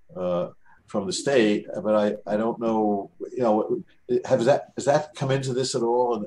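The tone is dark and mellow, with an American accent. The pace is moderate. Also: man. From New York City. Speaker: seminar organizer; audience member. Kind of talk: Q&A discussion. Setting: video call. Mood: reflective, anecdotal. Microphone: video call.

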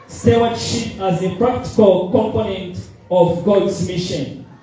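A man talks at a very slow pace with ordinary pitch variation. Strong room echo and light background noise fill the recording. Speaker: preacher. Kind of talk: sermon. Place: church.

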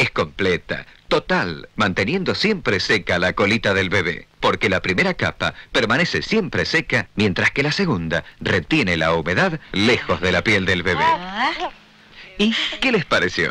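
A man at a fairly slow pace, with very even loudness. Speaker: announcer. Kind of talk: TV commercial read.

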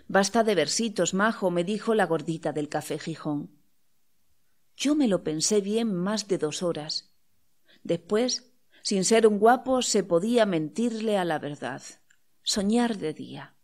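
In a very clean recording with a silent background, a woman speaks at a very slow pace with long, frequent pauses and lively intonation. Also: medium pitch for a woman. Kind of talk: audiobook reading of poetry and prose.

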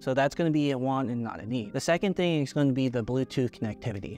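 A man talks at a very fast pace with ordinary pitch variation, his voice dry with no echo and faint music in the background. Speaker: tech reviewer. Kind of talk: product review talk. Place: home room.

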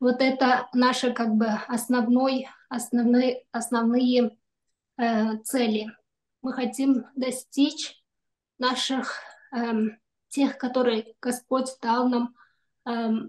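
A woman speaks very slowly at a high pitch, her intonation monotone and flat. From Kyrgyzstan. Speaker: doctor; webinar host, speaker. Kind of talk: prayer; prayer and presentation talk. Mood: calm, earnest. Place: home room. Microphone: video call.

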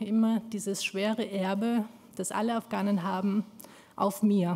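A woman at a moderate pace, somewhat breathy, with a dark, mellow tone and monotone, flat intonation. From Afghanistan, raised in Austria. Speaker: community activist; speaker. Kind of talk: speech. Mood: earnest, emotionally engaged. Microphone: podium.

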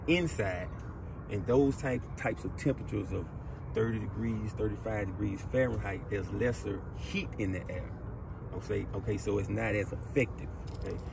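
At a moderate pace, a man speaks with a fairly low pitch over noticeable background noise. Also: dry sound with no echo. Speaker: carpentry instructor. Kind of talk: lecture. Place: open country.

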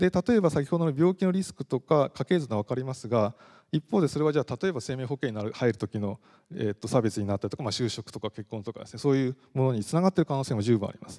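In a quiet background, a man talks at a very fast pace with a dark, mellow tone, lively intonation and big swings in loudness. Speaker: professor; university lecturer. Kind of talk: lecture. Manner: frequent fillers. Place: hall. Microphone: handheld.

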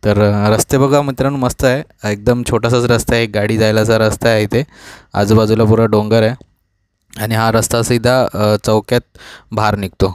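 A man's monotone voice with flat intonation and very even loudness, dry with no echo, over a quiet background. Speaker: travel vlogger. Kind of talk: casual vlog chat. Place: car. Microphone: phone near.

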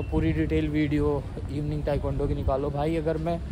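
A man's voice over noticeable background noise. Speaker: martial arts vlogger. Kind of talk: casual vlog chat. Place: open country. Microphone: phone near.

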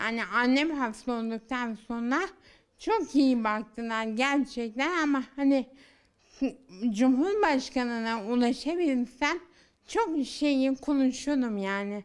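A woman speaks at a high pitch and a very slow pace. The background is quiet. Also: ordinary pitch variation. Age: 30s. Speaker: daughter of the featured mother, has walking difficulty; interviewee. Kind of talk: news interview. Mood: frustrated, complaining. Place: home room. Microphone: handheld.

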